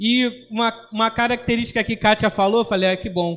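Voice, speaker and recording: Speaking at a fairly quick pace, a man talks in a Rio de Janeiro accent. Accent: carioca. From Brazil, Rio de Janeiro city. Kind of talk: religious formation talk.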